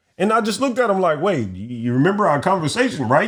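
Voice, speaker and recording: A man's high voice with an American accent, very fast and animated, with very wide pitch swings. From United States. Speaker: podcast co-host. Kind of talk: casual chat. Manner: animated storytelling.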